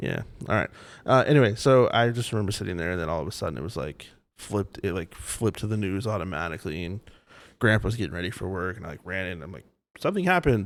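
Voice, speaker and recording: A man's very deep, low voice at a very fast pace, with ordinary pitch variation, big swings in loudness and a very clean recording with a silent background. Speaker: podcast co-host, parent in a blended family. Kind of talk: casual chat. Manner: animated.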